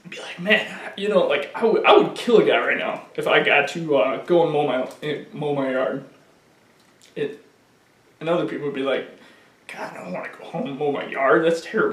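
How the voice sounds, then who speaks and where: Amid noticeable background noise and audible room echo, a man speaks at a moderate pace with big swings in loudness. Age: 20s. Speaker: person living with ALS. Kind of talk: documentary interview. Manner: casual.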